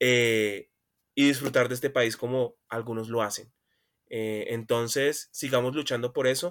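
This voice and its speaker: An unremarkable speaking voice from a man, medium in pitch, fairly even in intonation and fairly slow in pace. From Colombia, Buenaventura (Pacific coast, Valle). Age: 20s. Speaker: law student, podcast guest. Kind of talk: casual political discussion.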